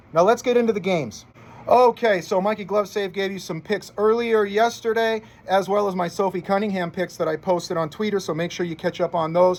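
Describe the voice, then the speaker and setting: A high-pitched man talks at a fairly quick pace with fairly even intonation. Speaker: sports betting tipster. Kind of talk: sports betting picks monologue. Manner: fast; casual, chatty.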